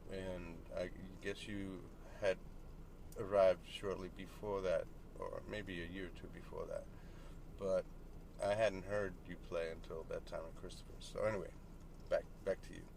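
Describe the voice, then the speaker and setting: A man at a moderate pace, with big swings in loudness and long, frequent pauses. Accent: American. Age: 50s. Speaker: musician and interviewer. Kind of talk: casual interview. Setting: in a parked car.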